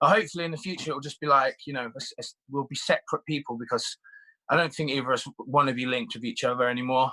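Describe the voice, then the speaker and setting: In a British accent, a man speaks at a very fast pace and fairly high pitch, his tone bright and sharp, with ordinary pitch variation, big swings in loudness, and a dry, close sound with no echo. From UK, Irish family. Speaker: reality TV contestant. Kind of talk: interview. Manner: halting.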